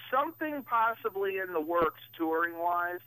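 At a moderate pace, the voice comes through dry with no echo over a quiet background. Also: man. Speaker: guest. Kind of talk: interview answer. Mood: upbeat, busy.

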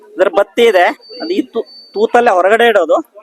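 A man speaks with lively intonation at a high pitch. The sound is dry and close, with no echo. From Puttur, Dakshina Kannada, India. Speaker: farmer and product seller. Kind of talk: sales pitch.

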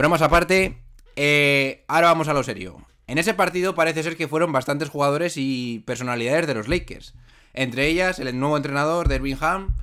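A man with a fairly high pitch talks at a fairly quick pace, his tone bright, sharp and animated. Pitch variation is ordinary, and the background is quiet. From Spain. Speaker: podcast host. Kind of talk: casual chat. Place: home room. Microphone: studio mic.

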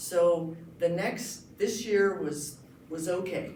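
Noticeable background noise and audible room echo around a woman's voice with ordinary pitch variation. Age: 60s. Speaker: county commissioner candidate. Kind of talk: candidate forum speech.

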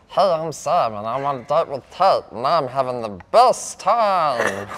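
A man's squeaky, put-on character voice, fairly high in pitch, at a moderate pace.

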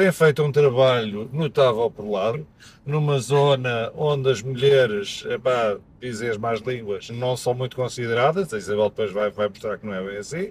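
Somewhat breathy and at medium pitch, a man's voice shows big swings in loudness against light background noise. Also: ordinary pitch variation, moderate pace. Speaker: podcast host. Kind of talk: interview conversation. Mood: relaxed, friendly. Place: car. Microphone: camera far.

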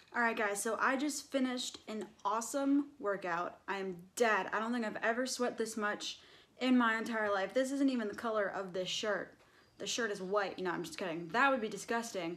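Here a woman talks at a fairly quick pace. Her pitch variation is ordinary. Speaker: fitness vlogger. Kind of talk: casual vlog chat. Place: gym. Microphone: phone near.

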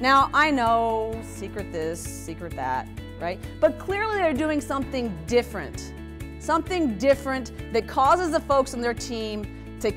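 Clear music plays in the background while a woman talks. Her tone is energetic, her pace fairly slow. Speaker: keynote speaker. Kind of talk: motivational keynote speech. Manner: energetic, engaging. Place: hall. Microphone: lapel.

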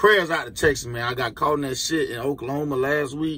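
A man with an American accent talks at a fairly quick pace in a bright, sharp tone, with a dry sound and no echo. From Florida. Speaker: truck driver and YouTuber; YouTuber. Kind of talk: casual vlog. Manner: animated. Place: car. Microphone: phone near.

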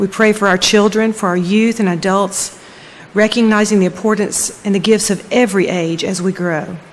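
The speech moves at a moderate pace with fairly even intonation. Light background noise can be heard. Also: woman. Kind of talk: prayer. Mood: solemn, measured. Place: church. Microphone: podium.

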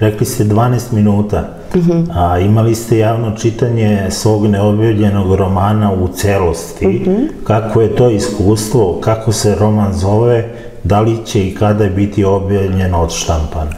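Noticeable background noise is present. A fairly low-pitched man talks with very even loudness and fairly even intonation. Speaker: talk show host. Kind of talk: interview questions.

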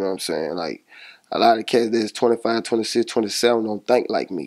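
An American-accented man at a moderate pace, with fairly even intonation and a quiet background. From Monroe, Louisiana; Louisiana. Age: 20s. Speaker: rapper. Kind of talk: casual interview. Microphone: handheld.

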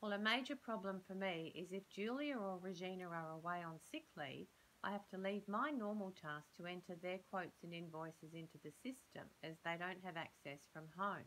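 A woman speaks at a moderate pace with ordinary pitch variation and hardly any pauses, over light background noise. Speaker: speaker. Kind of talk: scripted role-play dialogue. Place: home room. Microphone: phone near.

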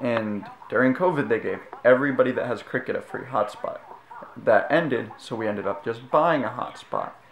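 Audible room echo and light background noise around a man speaking at a fairly quick pace. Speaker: vlogger. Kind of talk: casual vlog rant. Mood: frustrated, complaining. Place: home room. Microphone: phone near.

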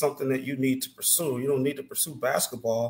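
A man with an American accent and fairly even intonation, over light background noise. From Chicago suburbs (La Grange); Illinois. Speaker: former college basketball player; podcast guest. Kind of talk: casual interview chat. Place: home room.

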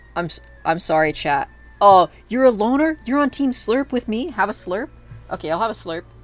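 With music in the background, a woman talks at a moderate pace, her pitch swinging very widely. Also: fairly high pitch for a woman. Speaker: streamer. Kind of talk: casual livestream chat while gaming. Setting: live stream, home recording. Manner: rambling, hesitant with many filler words.

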